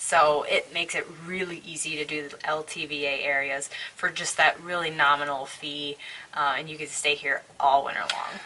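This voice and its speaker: Noticeable background noise surrounds a woman with a very deep, low pitch. She speaks at a moderate pace with fairly even intonation. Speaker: full-time RVer. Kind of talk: casual talk to camera.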